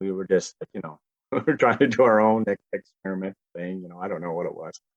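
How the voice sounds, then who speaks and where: Recorded with a dry, close sound and no echo, a man with a Cape Breton accent speaks at a fairly low pitch. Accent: Cape Breton Canadian. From Cape Breton, Nova Scotia. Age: 40s. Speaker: musician. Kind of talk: casual interview chat.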